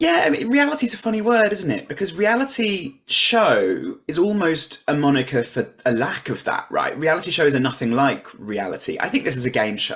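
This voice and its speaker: With hardly any pauses, a high-pitched man swings his pitch very widely over noticeable background noise. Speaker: reality game show contestant and writer. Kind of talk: interview. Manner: fast.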